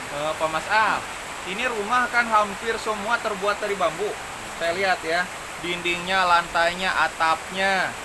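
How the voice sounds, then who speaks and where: The speech moves at a fairly slow pace. Noticeable background noise runs behind it. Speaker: video host interviewer. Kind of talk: casual interview. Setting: rural bamboo house during heavy rain. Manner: speaking loudly over rain.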